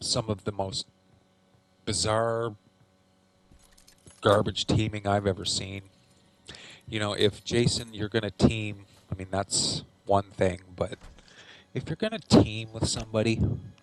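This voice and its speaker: Quiet and fairly low-pitched, a man speaks at a fairly slow pace with monotone, flat intonation and long, frequent pauses. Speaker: gaming youtuber. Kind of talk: gameplay commentary.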